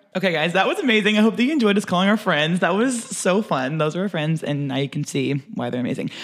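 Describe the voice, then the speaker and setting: Very fast speech with hardly any pauses, over noticeable background noise. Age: 20s. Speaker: podcast co-host and elementary school teacher. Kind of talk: casual chat.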